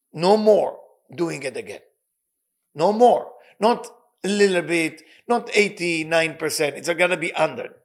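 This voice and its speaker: Someone with a non-native accent speaks fairly slowly, with ordinary pitch variation. Long pauses come often. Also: man, high pitch for a man. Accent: non-native accent, self-noted. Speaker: spiritual teacher and life coach. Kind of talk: religious lecture. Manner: emphatic, with hesitations.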